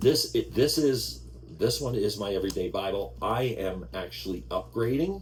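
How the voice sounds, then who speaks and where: With an American accent, a man talks at a fairly slow pace in a very deep, low voice that swings widely in pitch, with audible room echo. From New York. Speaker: Bible reading channel host. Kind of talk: casual chat. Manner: animated. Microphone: sound problems.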